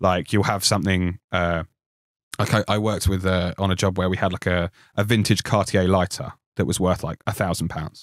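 In a very clean recording with a silent background and a dry, close sound free of echo, a man speaks fairly quickly in a very deep, low, monotone voice with flat intonation. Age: 30s. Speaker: film standby props worker. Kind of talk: interview.

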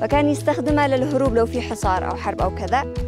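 A woman speaks with a Yemeni accent in a dry sound with no echo. Music is clearly heard in the background. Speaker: travel show host. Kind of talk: travel show presenting to camera. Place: open country. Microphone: lapel.

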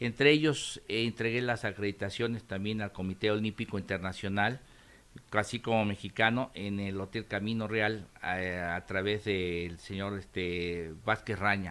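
A man with a normal speaking voice talks in a fairly low pitch at a fairly slow pace. His intonation stays fairly even. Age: 60s. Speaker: former Olympic volunteer. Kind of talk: interview.

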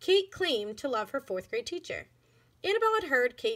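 The reading is delivered in a natural voice.

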